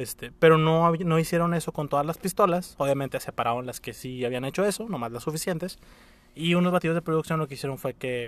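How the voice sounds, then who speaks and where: The pace of this man's talking is very fast. He has a fairly high pitch. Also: ordinary pitch variation. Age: 20s. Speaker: podcast co-host. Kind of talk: casual chat. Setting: recording in a parking garage.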